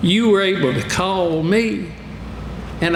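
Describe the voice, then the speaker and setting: With a Southern US accent, a man speaks high in pitch at a fairly slow pace with lively intonation, amid audible room echo and noticeable background noise. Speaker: political candidate. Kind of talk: campaign speech. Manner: animated.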